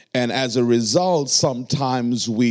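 A man's medium-pitched voice in a Trinidadian accent, at a moderate pace. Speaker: pastor. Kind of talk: sermon. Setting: church.

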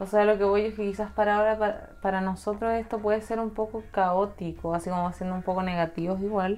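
Speaking very fast with hardly any pauses, a woman with a Chilean accent holds a medium pitch in a monotone, flat intonation. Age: 20s. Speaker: law graduate and youtuber. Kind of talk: casual chat.

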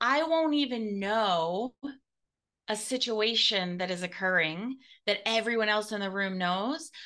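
A fairly high-pitched woman's voice, bright and sharp in tone, with lively intonation at a fairly slow pace over a quiet background. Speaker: podcast host and business mentor. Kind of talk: casual interview chat.

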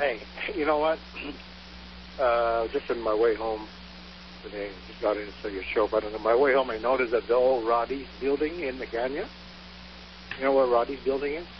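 Fairly quick speech from a man at medium pitch, ordinary pitch variation, long and frequent pauses, and noticeable background noise. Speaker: caller. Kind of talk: call-in talk radio.

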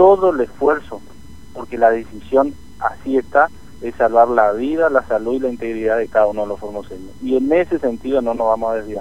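In a normal speaking voice, a man speaks at medium pitch and a moderate pace. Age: 30s. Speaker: provincial politician. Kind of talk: radio interview.

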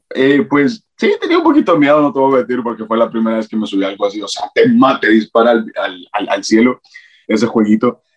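Delivered at a fairly quick pace, the audio has a dry, close sound with no echo. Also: man. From Latin America, raised by grandmother until 12. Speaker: TikTok content creator. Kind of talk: casual interview chat.

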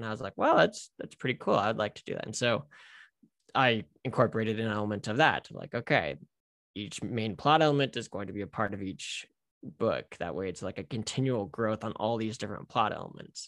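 A man with a normal speaking voice, medium pitch, ordinary pitch variation and an American accent at a fairly quick pace, on a very clean recording with a silent background. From United States. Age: 20s. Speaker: author and missionary. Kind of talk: interview.

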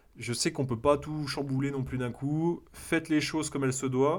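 Fairly high-pitched, a man speaks at a moderate pace. The recording is very clean, with a silent background. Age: 30s. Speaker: entrepreneur podcaster. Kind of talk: casual solo monologue. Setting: home recording, solo. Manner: animated; hesitant, many fillers.

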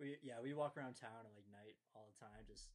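A man with a plain, everyday voice, fairly even intonation and a fairly quick pace. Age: 20s. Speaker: podcast host. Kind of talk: casual chat.

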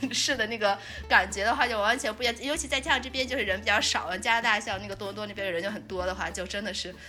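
Over music in the background, a woman with a fairly high pitch talks at a very fast pace. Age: young. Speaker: podcast host. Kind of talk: casual chat.

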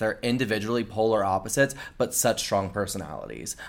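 This man has a fairly low pitch and an American accent. His intonation stays fairly even, and the recording is very clean against a silent background. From US Florida Panhandle. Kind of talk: casual interview chat. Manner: fast talker.

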